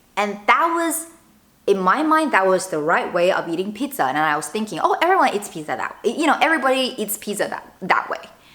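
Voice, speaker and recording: Speaking at a fairly quick pace, a woman with a slight Chinese accent uses a fairly high pitch with very wide pitch swings. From northern China. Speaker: lifestyle vlogger. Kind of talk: casual vlog talk to camera. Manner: conversational, with fillers and self-corrections.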